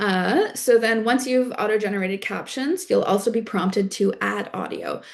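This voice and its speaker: A woman with a slight East Coast Canadian accent speaks at a moderate pace with hardly any pauses, her fairly high voice carrying vocal fry and ordinary pitch variation. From Prince Edward Island, Canada. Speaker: climate organizer and content creator. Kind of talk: workshop tutorial. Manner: casual, many filler words.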